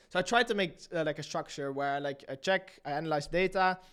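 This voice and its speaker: A man in a normal speaking voice talks at a fairly quick pace with a fairly high pitch and ordinary pitch variation. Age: 20s. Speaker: YouTube channel entrepreneur. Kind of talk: casual interview chat.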